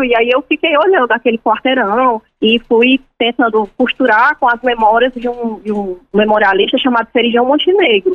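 The woman's high voice has ordinary pitch variation as she talks at a moderate pace. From Ceará, Brazil. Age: 30s. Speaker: journalist and author. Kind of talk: interview.

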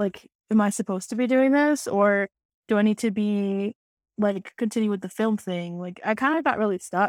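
With an American accent and an ordinary speaking voice, a woman talks at medium pitch and a moderate pace with ordinary pitch variation, the sound dry and close with no echo in a very clean recording with a silent background. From Arizona, Tucson. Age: 20s. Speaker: singer-songwriter and film student. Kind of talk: casual interview chat.

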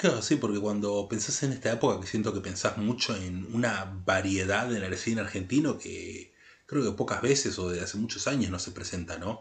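Against a quiet background, a man with a fairly low pitch and a somewhat breathy voice speaks at a moderate pace with ordinary pitch variation and hardly any pauses. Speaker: podcast co-host, film critic. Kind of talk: casual chat.

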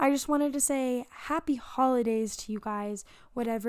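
A plain, everyday voice at a moderate pace, on a very clean recording with a silent background. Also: woman. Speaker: podcast host, college student. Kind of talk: casual chat. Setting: home bedroom.

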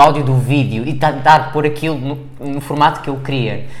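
With a European Portuguese accent, a man speaks in a fairly high pitch at a moderate pace, with audible room echo and noticeable background noise. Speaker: podcast co-host. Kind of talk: casual chat.

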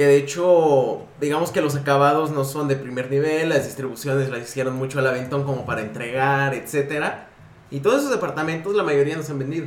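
A man with a Mexican accent, fairly high pitch, fairly even intonation and a fairly quick pace, amid noticeable background noise and audible room echo. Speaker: podcast co-host, design studio owner. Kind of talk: casual chat.

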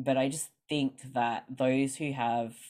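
At a fairly slow pace, a woman with an Australian accent speaks with ordinary pitch variation on a very clean recording with a silent background. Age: 30s. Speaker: guest talking about chronic illness. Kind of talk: casual interview chat.

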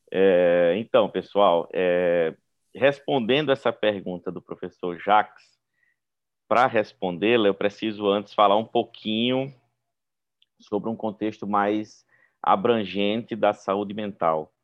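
A man with a Brazilian accent, fairly low pitch, ordinary pitch variation and a very slow pace. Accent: non-gaúcho Brazilian. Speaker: psychiatrist, professor. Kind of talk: panel discussion.

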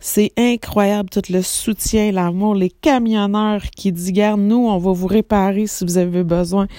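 A woman with a Quebec accent speaks at a fairly slow pace, her medium-pitched voice shaky, dark and mellow, with fairly even intonation. The recording is very clean, with a silent background. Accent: Québécois French. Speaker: psychic medium podcaster. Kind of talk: casual monologue. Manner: emotional, trembling voice; hesitant fillers.

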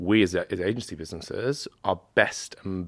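A man's very deep, low voice in a British accent, with ordinary pitch variation. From Britain. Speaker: media agency general manager. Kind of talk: panel discussion. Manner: halting.

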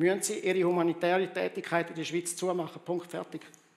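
Noticeable background noise runs under a man's high-pitched voice. He talks at a fairly quick pace. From Rwanda, then Switzerland. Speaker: pastor. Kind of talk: sermon.

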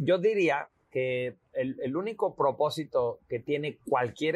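A man speaks at a very slow pace. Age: 40s. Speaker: homeopath and visual artist. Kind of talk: casual interview. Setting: outdoors on a terrace.

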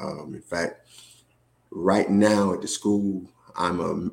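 Over a silent background in a very clean recording, a man speaks with a very deep, low pitch and monotone, flat intonation. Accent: Southern US. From US South, Georgia. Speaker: school administrator. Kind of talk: casual interview.

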